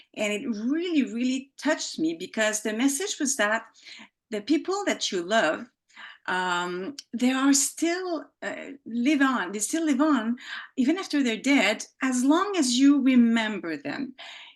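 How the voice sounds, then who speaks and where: A woman with a French accent talks at a fairly slow pace, her high pitch swinging very widely. The background is quiet. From Quebec, Montreal. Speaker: author, former journalist. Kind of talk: casual interview. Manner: halting, many fillers and restarts.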